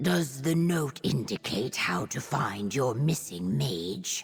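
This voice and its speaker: Growling in a put-on character voice, the speaker uses a low-to-middle pitch at a fairly slow pace over faint music in the background. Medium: video game. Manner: earnest, formal.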